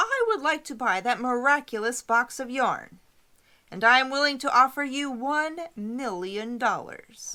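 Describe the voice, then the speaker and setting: A woman uses a put-on character voice pitched high. Her pace is moderate and her pitch varies in an ordinary way. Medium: read story. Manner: imperious, demanding.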